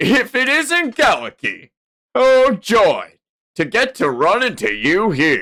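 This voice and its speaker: A man puts on a cheerful, extremely high-pitched character voice, speaking fairly slowly with very wide pitch swings. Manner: mockingly cheerful, sarcastic.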